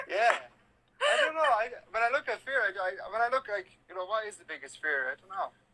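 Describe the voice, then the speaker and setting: The speaker has an Irish accent and talks at a fairly quick pace. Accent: Irish, normal everyday. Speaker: live streamer. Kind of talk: casual chat.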